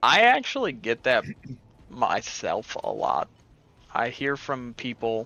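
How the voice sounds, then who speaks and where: A loud man with a bright, sharp tone at a fairly slow pace. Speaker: gamer. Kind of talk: casual chat.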